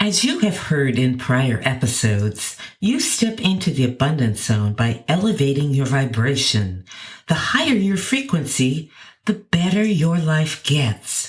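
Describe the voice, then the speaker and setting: A woman speaks at a very deep, low pitch with very wide pitch swings. Music plays in the background. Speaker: podcast host. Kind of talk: self-help podcast talk.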